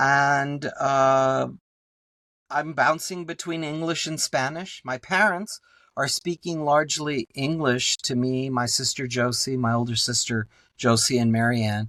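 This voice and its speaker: A man with a South Texas accent speaks at a fairly slow pace with a fairly high pitch, ordinary pitch variation, and a bright, sharp tone. The recording is very clean, with a silent background and a dry, close sound with no echo. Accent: South Texas Mexican-American English. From Texas border, Laredo. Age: 60s. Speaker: professor and artist. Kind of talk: podcast interview. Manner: animated, many fillers.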